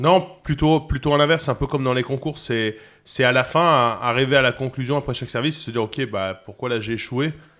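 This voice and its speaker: A man at a medium pitch with ordinary pitch variation, a fairly quick pace and big swings in loudness, in a very clean recording with a silent background. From Toulon, southern France. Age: 30s. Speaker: chef, cooking competitor. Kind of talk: podcast interview. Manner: hesitant, many fillers.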